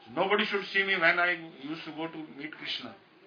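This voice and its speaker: Over noticeable background noise, a man with a high voice talks at a fairly quick pace with fairly even intonation. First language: Hindi. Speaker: spiritual teacher. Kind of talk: religious discourse. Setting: live talk recorded on a phone. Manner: halting. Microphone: phone recording.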